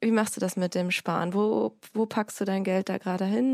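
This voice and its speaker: On a very clean recording with a silent background, an ordinary speaking voice delivers its words with fairly even intonation. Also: woman. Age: 30s. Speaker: podcast host and online editor. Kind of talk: casual interview.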